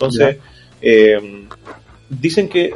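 A man with a Chilean accent, with music in the background. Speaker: podcast co-host. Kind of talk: casual chat.

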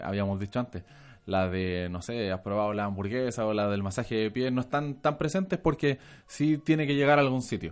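The background stays quiet. A man speaks at a fairly quick pace in an unremarkable speaking voice with ordinary pitch variation. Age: 20s. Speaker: film fan guest. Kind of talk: casual chat.

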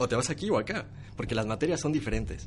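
A man talks at a very fast pace. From Mexico. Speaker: social media manager. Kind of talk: interview. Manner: animated.

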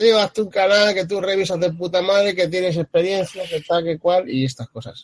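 A man's voice at a moderate pace, dry and close with no echo. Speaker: vaping channel creator. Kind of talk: casual chat.

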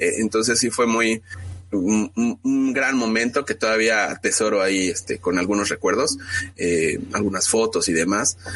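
A normal speaking voice from a man at medium pitch, fairly slow in pace, with ordinary pitch variation and very even loudness. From Mexico City. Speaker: football fan blogger. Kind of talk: casual chat.

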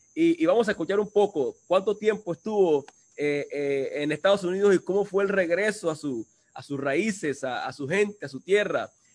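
A man's high voice with lively intonation, dry and close with no echo. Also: moderate pace. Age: 30s. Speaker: livestream host. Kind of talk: casual interview. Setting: video call.

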